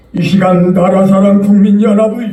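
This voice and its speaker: A man's high-pitched voice amid audible room echo and noticeable background noise. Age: 80s+. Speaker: church elder. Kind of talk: public prayer. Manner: formal.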